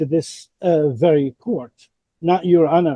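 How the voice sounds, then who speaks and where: Recorded dry and close with no echo, a man speaks fairly slowly in a high voice with a dark, mellow tone and ordinary pitch variation. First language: not English. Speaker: father in custody court case, self-represented. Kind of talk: court hearing argument. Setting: courtroom. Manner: halting, repeats words.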